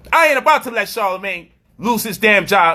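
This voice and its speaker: A man projects his raised voice at a high pitch, with a bright, sharp, animated tone. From US Northeast, Brooklyn, New York. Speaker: commentator. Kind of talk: commentary monologue.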